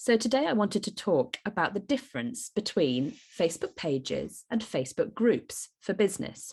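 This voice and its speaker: Over a quiet background, a woman speaks at medium pitch with vocal fry. Her pace is moderate and her pitch swings are very wide. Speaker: podcast host for business mums. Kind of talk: solo podcast talk. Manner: hesitant with frequent fillers.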